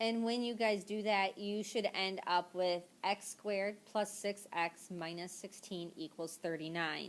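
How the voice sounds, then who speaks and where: This woman has a normal speaking voice at a medium pitch, with fairly even intonation. She goes at a fairly slow pace with hardly any pauses. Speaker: math teacher. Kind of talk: tutorial. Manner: casual, filler words.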